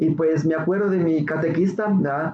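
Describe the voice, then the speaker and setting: A man talks at a moderate pace in a fairly high voice with fairly even intonation. Noticeable background noise is present. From Ciudad Juárez, northern Mexico. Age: 30s. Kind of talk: testimony. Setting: radio studio.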